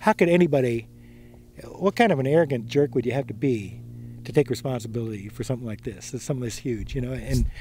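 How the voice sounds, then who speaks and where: Speaking at a very fast pace, a man has a dark, mellow tone and medium pitch. He is somewhat breathy, with ordinary pitch variation. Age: 60s. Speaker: mountain biking pioneer. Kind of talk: interview. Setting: outdoors. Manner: casual, halting with fillers.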